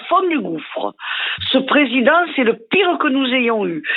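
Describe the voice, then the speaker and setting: Over noticeable background noise, a woman talks at a fairly slow pace in an animated tone, her high pitch making very wide swings. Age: 70s. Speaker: radio show caller. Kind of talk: heated radio call-in rant.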